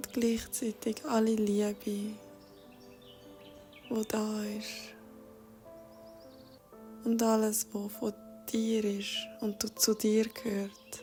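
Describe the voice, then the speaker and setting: A woman with a Swiss accent speaks in a fairly high, monotone, flat voice at a very slow pace. Long, frequent pauses break her speech while music plays in the background. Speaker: meditation guide. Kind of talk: guided meditation. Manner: soft-spoken, slow.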